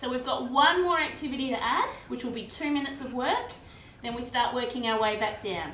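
A woman's high voice in an upbeat tone at a fairly quick pace with ordinary pitch variation, with audible room echo and light background noise. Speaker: fitness instructor. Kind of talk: guided workout class, instructing exercises with cues and countdowns. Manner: brisk, upbeat, encouraging; clear, directive, rhythmic counting. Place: garage. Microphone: camera far.

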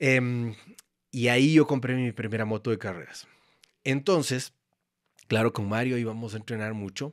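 A man is talking at a moderate pace. Little else can be heard behind him. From Ecuador. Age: 50s. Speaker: photographer and former motorcycle racer; podcast guest. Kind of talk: casual chat; interview answer. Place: studio. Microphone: studio mic.

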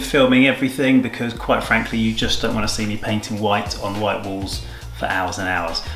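Faint music plays in the background. The room echo is audible. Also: man. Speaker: tai chi teacher renovating studio. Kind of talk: casual vlog chat. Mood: joking, self-mocking. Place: empty room. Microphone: phone near.

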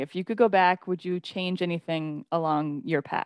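The speech moves at a moderate pace, with a dry sound, no echo and a quiet background. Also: woman. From Canada. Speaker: podcast host. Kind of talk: casual interview. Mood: warm, friendly. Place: home room. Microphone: studio mic.

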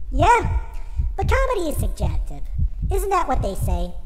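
Loud background noise sits behind a put-on character voice. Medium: read story. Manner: hesitant, stammering at first, then bitter ranting.

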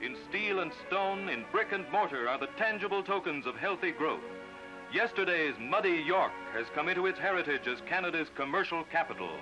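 A man's high-pitched voice over clear music in the background. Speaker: documentary narrator. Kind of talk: formal documentary narration. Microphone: old recording.

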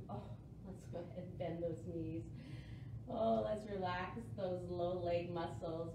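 A woman's voice comes through with audible echo from the room and noticeable noise behind it. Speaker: yoga instructor. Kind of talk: guided core-focused yoga class cueing breath and movement. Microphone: camera far.

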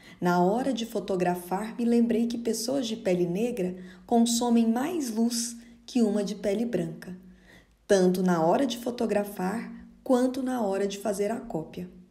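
Music plays in the background as a woman speaks fairly slowly at a fairly high pitch with ordinary pitch variation. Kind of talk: dramatic first-person narration of a life story, theatrical and nostalgic. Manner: slow, expressive, wistful and measured.

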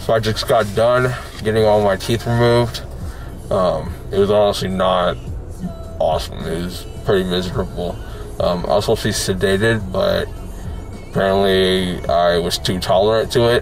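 A man speaks at a moderate pace in a fairly low voice with fairly even intonation and long, frequent pauses. Faint music plays in the background, and the sound is dry with no echo. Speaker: vlogger. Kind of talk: casual vlog chat. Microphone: phone near.

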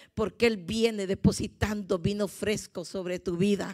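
A woman speaks in an animated tone at a fairly slow pace, with a quiet background. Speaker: visiting preacher. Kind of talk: sermon. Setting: church. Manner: animated, fervent, exhorting the congregation. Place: church. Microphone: handheld.

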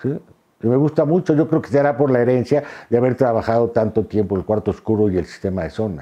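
The background is quiet. A man talks at a very fast pace with lively intonation. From Mexico City. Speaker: photographer and visual artist; interviewee. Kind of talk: interview monologue; interview answer. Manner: hesitant, many fillers and repetitions. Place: home room. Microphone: lapel.

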